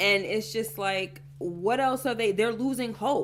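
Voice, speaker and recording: With music in the background, a woman speaks in an animated tone with lively intonation. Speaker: YouTube TV show reactor. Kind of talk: casual TV recap chat. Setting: livestream.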